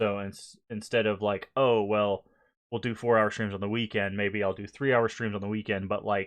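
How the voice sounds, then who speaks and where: With a slight Southern US accent, a man talks at a moderate pace in a fairly low pitch and a monotone, flat intonation. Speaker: gaming streamer. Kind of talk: casual live stream chat.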